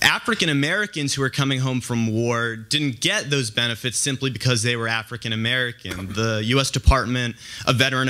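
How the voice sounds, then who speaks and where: A man's bright, sharp tone at a moderate pace over a quiet background. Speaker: audience member. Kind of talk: audience question at a debate. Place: hall.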